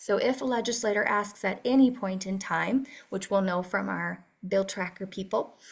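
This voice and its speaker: A woman's medium-pitched voice with vocal fry and ordinary pitch variation, on a very clean recording with a silent background. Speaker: advocacy task force leader. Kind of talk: meeting presentation. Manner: fast.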